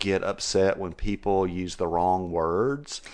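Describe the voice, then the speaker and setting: This man speaks at a fairly slow pace with a West Texas accent. The background is quiet. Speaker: podcast co-host at an animal hospital. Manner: slangy, casual speech.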